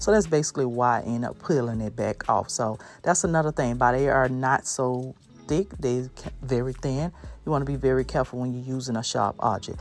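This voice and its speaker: A woman speaks with a very deep, low pitch and an upbeat tone at a fairly quick pace. Her pitch varies in an ordinary way, with music in the background. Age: 30s. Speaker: DIY home decor creator. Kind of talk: casual DIY tutorial voiceover. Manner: chatty, upbeat.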